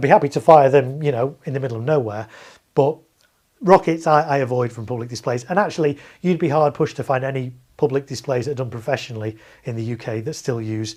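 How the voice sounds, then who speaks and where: A man with a British accent speaks at a very fast pace. His voice sits at a medium pitch. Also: ordinary pitch variation. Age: 40s. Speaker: fireworks display operator and streamer. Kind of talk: live stream chat reading viewer comments. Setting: home garage. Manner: casual, with many fillers.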